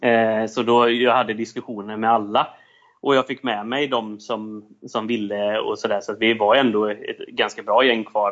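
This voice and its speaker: His intonation stays monotone and flat. The man's pitch sits at a medium level. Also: moderate pace. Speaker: salesperson and entrepreneur. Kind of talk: casual interview.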